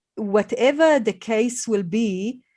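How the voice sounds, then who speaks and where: The voice has a dark, mellow tone and a non-native accent. It moves at a very slow pace with ordinary pitch variation. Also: woman. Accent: foreign. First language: not English. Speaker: podcast host. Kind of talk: podcast interview conversation. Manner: halting, many fillers.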